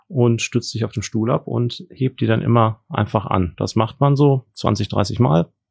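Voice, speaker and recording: A man with an ordinary speaking voice talks at a fairly low pitch with ordinary pitch variation, the sound dry and close with no echo over a quiet background. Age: 40s. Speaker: trauma and orthopedic surgeon. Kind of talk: interview. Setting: studio.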